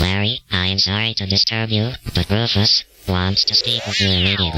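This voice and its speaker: A man puts on a character voice, pitched fairly low and delivered at a fairly quick pace. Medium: comedy sketch. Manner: formal, officious.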